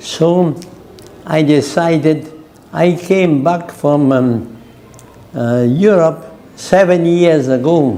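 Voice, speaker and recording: Very slow speech with long, frequent pauses and very even loudness, amid noticeable background noise and audible room echo. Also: man, fairly high pitch for a man, ordinary pitch variation. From France/Germany. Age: 90s. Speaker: Jesuit priest and missionary. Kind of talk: interview. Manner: halting.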